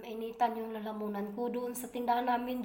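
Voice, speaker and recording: A woman's fairly high-pitched voice with audible room echo. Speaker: vlogger. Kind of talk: casual vlog talk. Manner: halting, many fillers.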